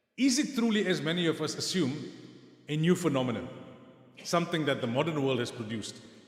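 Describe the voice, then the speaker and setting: Over noticeable background noise and audible room echo, a man with a fairly high pitch and lively intonation talks very fast, yet pauses long and often. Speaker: Islamic scholar and lecturer. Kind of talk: lecture.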